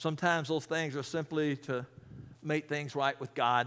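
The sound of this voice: A man at a moderate pace, fairly high pitch for a man, fairly bright tone and fairly even intonation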